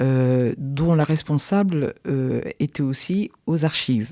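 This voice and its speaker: In a very clean recording with a silent background, a woman speaks with a very deep, low pitch and a dark, mellow tone. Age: 60s. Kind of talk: podcast interview. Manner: hesitant, many fillers.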